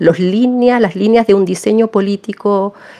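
A woman speaks with fairly even intonation. There is noticeable background noise. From Chile. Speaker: philosopher and feminist activist. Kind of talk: interview. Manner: halting, many repetitions and fillers.

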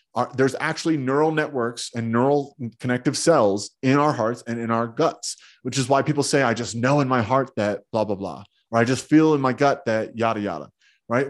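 Against a quiet background, a man of medium pitch speaks at a fairly quick pace with ordinary pitch variation in an unremarkable speaking voice. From New Jersey. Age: 30s. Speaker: self-healing teacher and entrepreneur. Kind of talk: interview.

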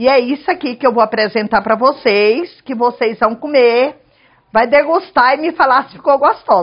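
A woman with a high pitch speaks at a moderate pace, her loudness swinging widely while her pitch varies in an ordinary way. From Goiás, Chapada dos Veadeiros (central Brazil). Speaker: cook and restaurant owner. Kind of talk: cooking tutorial. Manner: casual.

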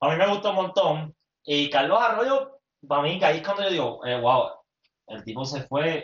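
A man with a Puerto Rican accent, fairly high in pitch, at a moderate pace with very wide pitch swings. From Puerto Rico, Mayagüez. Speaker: podcast co-host, former athlete. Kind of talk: casual chat. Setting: home apartment, livestream.

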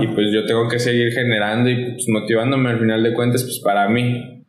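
A man speaks at a moderate pace in a medium pitch. Noticeable background noise and audible room echo surround his voice. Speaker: skateboarder. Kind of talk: casual chat.

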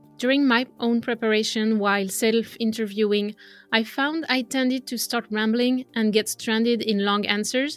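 Over music in the background, a woman with a French accent speaks at a moderate pace and a fairly high pitch, her intonation fairly even. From France. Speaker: language coach. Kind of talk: solo podcast monologue.

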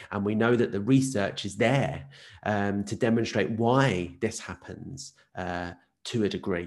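In an Essex accent, the speaker talks at a fairly slow pace with ordinary pitch variation against a quiet background. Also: man, fairly low pitch for a man. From Essex, southeast England. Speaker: podcast host, physiotherapist. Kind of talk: interview.

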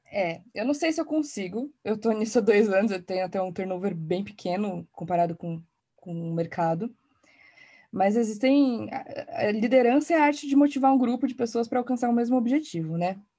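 Lively in intonation and moderate in pace, the voice sounds dark, mellow and somewhat breathy. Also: woman, fairly high pitch for a woman. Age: 30s. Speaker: design and innovation executive. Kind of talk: podcast panel discussion.

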